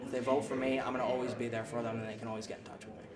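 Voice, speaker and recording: A man speaks at a medium pitch in a flat monotone, with noticeable background noise behind him. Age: 20s. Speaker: city council candidate. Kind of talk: interview answer. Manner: casual, many filler words.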